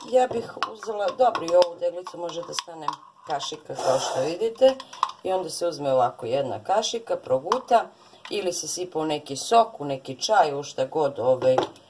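A woman with a fairly low pitch speaks at a moderate pace with very wide pitch swings and big swings in loudness, over noticeable background noise. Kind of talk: tutorial. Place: kitchen. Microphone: phone near.

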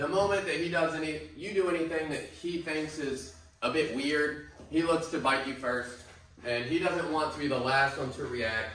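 Audible room echo follows a man who speaks at a moderate pace. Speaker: dog trainer. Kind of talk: explanatory commentary. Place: hall.

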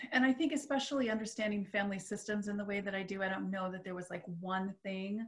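A woman rushes along at a very fast pace with hardly any pauses and ordinary pitch variation, against a quiet background. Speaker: metaphysical minister and hypnotist. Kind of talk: casual chat. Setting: video call. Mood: earnest, reflective personal sharing. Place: home room. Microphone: video call.

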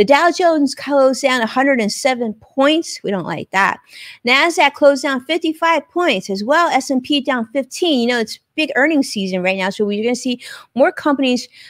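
A high-pitched woman speaks at a fairly slow pace with lively intonation. The sound is dry with no echo, and the background is quiet. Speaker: live show host. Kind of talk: live show host commentary. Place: home room. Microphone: studio mic.

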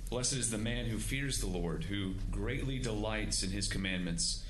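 Moderate pace from a man, with light background noise. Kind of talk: scripture reading and prayer. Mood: solemn, reverent. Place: hall. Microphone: podium.

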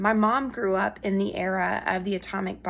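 Using an American accent, a woman talks at a moderate pace with fairly even intonation. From US South, Alabama. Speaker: history professor. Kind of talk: recorded weekly class announcement. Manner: conversational with frequent fillers. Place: home room. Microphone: phone near.

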